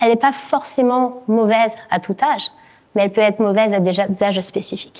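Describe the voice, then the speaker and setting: A woman talks in a fairly high pitch. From France. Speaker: neuroscientist. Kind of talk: conference talk.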